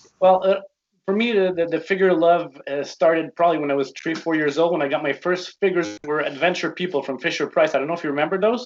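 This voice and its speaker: A man with a French Canadian accent at a high pitch, ordinary pitch variation and a very fast pace. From Quebec. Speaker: toy collector. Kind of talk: casual interview chat.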